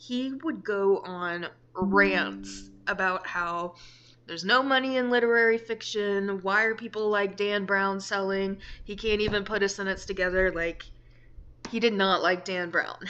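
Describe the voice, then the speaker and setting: In an American accent, the speaker goes at a fairly slow pace with a bright, sharp tone and fairly even intonation. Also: woman, medium pitch for a woman. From United States. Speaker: book vlogger. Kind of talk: casual vlog. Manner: casual, filler-heavy.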